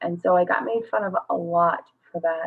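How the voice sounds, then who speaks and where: At a fairly slow pace, a woman with a Midwestern American accent speaks at medium pitch. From western Kansas. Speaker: parent and online group admin. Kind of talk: personal testimony at community meeting. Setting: video call.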